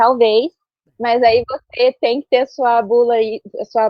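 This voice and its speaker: A woman with an ordinary speaking voice talks at a fairly high pitch and with fairly even intonation. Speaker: author. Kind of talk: casual chat.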